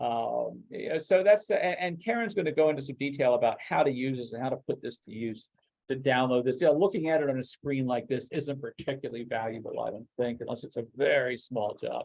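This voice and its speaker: Male speech at a fairly quick pace with hardly any pauses. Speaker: software product expert presenting a demo. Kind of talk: webinar product demo. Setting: online webinar. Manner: fast; halting, many fillers and restarts.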